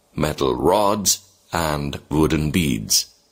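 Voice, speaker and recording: Vocal fry runs through a man's very deep, low voice, which carries lively intonation. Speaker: teacher. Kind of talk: reading aloud.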